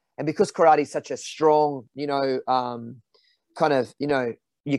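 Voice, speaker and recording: A man with an Australian accent, fairly high-pitched, at a fairly quick pace with fairly even intonation, in a dry, close recording with no echo. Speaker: visually impaired karate fighter. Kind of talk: casual interview chat. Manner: halting, many fillers and repeats.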